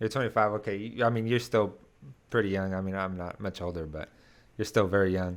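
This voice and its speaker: A man with an unremarkable speaking voice talks at a fairly low pitch. His pace is fairly quick and his intonation fairly even. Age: 20s. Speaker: podcast co-host, musician. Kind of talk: casual interview chat.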